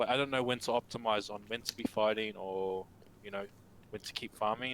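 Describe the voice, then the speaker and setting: A man with a New Zealand accent talks at a fairly quick pace, his pitch fairly low and his intonation fairly even. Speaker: gamer being coached. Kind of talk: casual chat. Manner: hesitant, many fillers.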